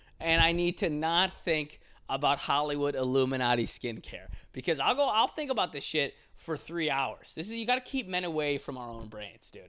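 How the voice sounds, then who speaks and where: On a very clean recording with a silent background, a man with a bright, sharp tone and a fairly high pitch talks at a moderate pace, his pitch swinging very widely and his loudness varying a lot. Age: 20s. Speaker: podcast host. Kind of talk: casual solo monologue. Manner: animated.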